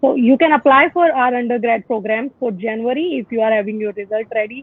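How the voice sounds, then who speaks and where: Speaking in an Indian accent, a woman talks at a fairly quick pace with a fairly high pitch. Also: ordinary pitch variation. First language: Hindi. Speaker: university admissions representative. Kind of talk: informational webinar Q&A. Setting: Facebook live video call.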